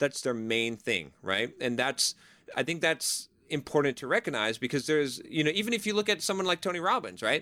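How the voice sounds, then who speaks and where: In a very clean recording with a silent background and a dry, close sound with no echo, a man talks at a fairly quick pace and a fairly high pitch, his bright, sharp tone marked by vocal fry and very wide pitch swings. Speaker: software engineer and author. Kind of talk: interview. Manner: repeats words and restarts sentences often; animated.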